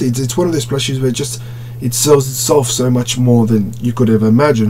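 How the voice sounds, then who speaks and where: A man's medium-pitched voice, with ordinary pitch variation, rushes along at a very fast pace against noticeable background noise. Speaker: toy collector reviewer. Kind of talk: product review. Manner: stuttering at times; casual, filler-heavy.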